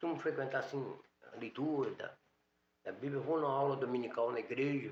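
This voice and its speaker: A man talks at a fairly quick pace in a monotone, flat intonation, broken by long, frequent pauses. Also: fairly high pitch for a man. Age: 60s. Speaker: newsstand owner. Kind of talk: interview.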